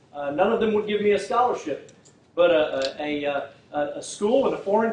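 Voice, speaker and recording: With a Texan accent and a high pitch, a man talks at a fairly quick pace and ordinary pitch variation, amid noticeable background noise and audible room echo. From Texas, Fort Worth. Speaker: prosecutor and political candidate. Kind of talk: campaign speech. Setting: public forum without microphone. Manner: halting, many fillers.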